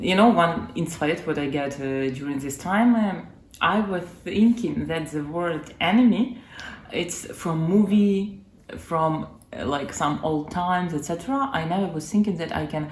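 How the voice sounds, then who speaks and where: With a Ukrainian accent, a woman speaks at a fairly slow pace amid audible room echo. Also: fairly low pitch for a woman, lively intonation. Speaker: interviewee, former refugee. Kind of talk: interview. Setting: friend's home. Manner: halting.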